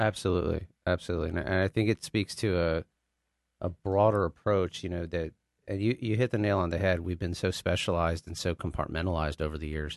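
At a very fast pace, a man with an American accent speaks in a very deep, low pitch and fairly even intonation, in a dry, close sound with no echo and a quiet background. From Texas, Dallas area. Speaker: physician. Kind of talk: interview. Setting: studio.

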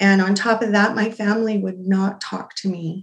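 In an American accent, a woman speaks fairly slowly at a medium pitch, somewhat breathy, with fairly even intonation. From Utah, US. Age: 40s. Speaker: domestic abuse survivor. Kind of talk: testimony.

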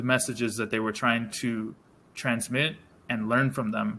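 A man with an American accent and a bright, sharp tone, at a moderate pace. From US. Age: young. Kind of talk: casual chat.

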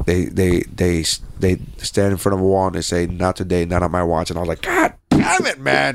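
Noticeable background noise sits behind fairly quick speech whose intonation stays fairly even. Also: man, very deep, low pitch for a man. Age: 20s. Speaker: podcast host. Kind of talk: casual chat.

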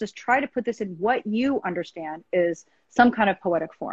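A woman has a normal speaking voice, medium in pitch, with ordinary pitch variation. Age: 50s. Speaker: writer and poet. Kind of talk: interview.

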